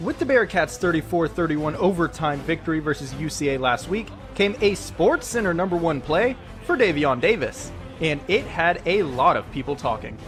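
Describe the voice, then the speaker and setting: A man's high voice with lively intonation at a moderate pace, music in the background. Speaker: sports anchor and reporter. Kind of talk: TV sports reporter package narration.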